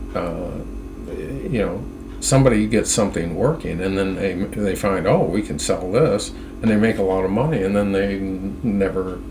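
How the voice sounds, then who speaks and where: A man's fairly low-pitched voice at a moderate pace with ordinary pitch variation, amid noticeable background noise and audible room echo. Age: 70s. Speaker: independent internet researcher. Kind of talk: screen-share monologue. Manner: halting, many fillers and restarts.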